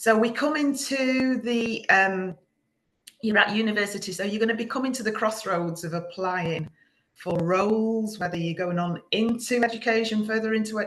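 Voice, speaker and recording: In a Manchester accent, a woman speaks at a moderate pace with a medium pitch and ordinary pitch variation. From England, Manchester area. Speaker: business founder giving a masterclass. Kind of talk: online presentation to students.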